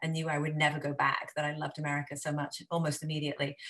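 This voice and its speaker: This woman's pitch is very deep and low. Her intonation stays monotone and flat. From Wales. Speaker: marketing agency CEO. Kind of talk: interview.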